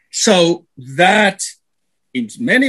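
Here a man speaks with a Spanish accent. His pitch is high. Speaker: radio panelist, philosopher. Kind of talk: radio panel discussion.

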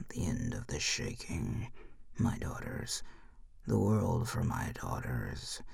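A soft-spoken man uses a put-on character voice. He talks at a very slow pace. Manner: soft, sorrowful, dreamy.

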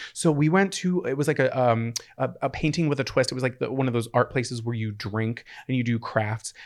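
A man talks at a fairly quick pace and medium pitch in an ordinary speaking voice, his pitch varying in an ordinary way. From Pennsylvania (moved away young). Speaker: podcast co-host. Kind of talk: casual chat.

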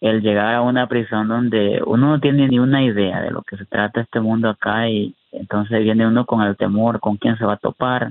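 In a flat monotone at medium pitch, a man talks at a moderate pace with hardly any pauses. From Honduras, raised in the US. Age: 30s. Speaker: prisoner and YouTuber. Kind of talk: interview testimony. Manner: halting, with repetitions.

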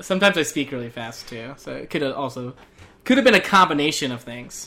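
The voice carries a Southwestern US accent. Its tone is bright and sharp. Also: man. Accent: American Southwestern.

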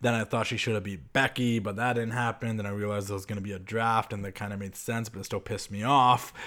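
A man at a very fast pace. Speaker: wrestling podcast host. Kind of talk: casual solo chat. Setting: radio studio.

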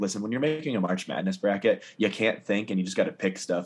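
Talking very fast, a man uses lively intonation at a fairly low pitch. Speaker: sports podcast host. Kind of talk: casual sports chat.

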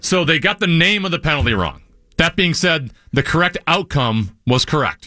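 Bright and sharp in tone, a man with vocal fry speaks at a fairly high pitch and a moderate pace, his intonation lively and his loudness very even. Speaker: sports radio host. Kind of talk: casual chat about hockey.

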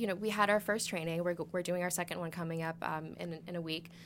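At a fairly quick pace, a woman with an American accent and fairly low pitch talks in a normal speaking voice on a very clean recording with a silent background. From Massachusetts. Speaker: nonprofit executive director. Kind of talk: podcast interview.

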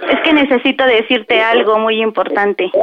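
A woman with a high pitch speaks fairly quickly, using ordinary pitch variation, as noticeable background noise continues. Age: 20s. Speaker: caller. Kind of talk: prank phone call.

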